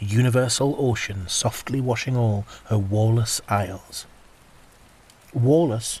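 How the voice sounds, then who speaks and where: A man talks at a fairly slow pace, somewhat breathy, with ordinary pitch variation. He leaves long, frequent pauses. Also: medium pitch for a man. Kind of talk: poetry reading.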